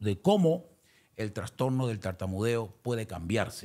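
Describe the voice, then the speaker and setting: A man speaks with a fairly low pitch. He goes at a fairly slow pace. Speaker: salsa singer. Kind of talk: interview.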